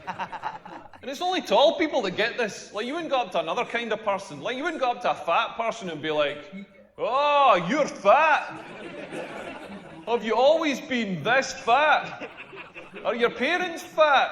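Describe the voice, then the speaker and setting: With noticeable background noise, a man in a Scottish accent speaks at a fairly slow pace with an extremely high pitch and very wide pitch swings. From rural Scotland. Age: 40s. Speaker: comedian. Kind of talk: stand-up.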